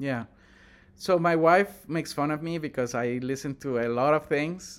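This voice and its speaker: A man speaks with a Spanish accent. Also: very clean recording, silent background. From Honduras. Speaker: tech entrepreneur. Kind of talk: casual interview. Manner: hesitant with frequent fillers.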